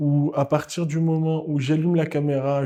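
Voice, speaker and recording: The man's voice is fairly high, with a dark, mellow tone. He speaks very slowly over a quiet background. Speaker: entrepreneur vlogger. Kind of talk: casual vlog monologue. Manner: monotone; halting.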